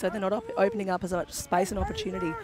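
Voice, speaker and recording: In an Australian accent, a woman talks at a very fast pace at medium pitch with ordinary pitch variation, and there is noticeable background noise. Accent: thick Australian. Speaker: lacrosse commentator. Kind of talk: live commentary.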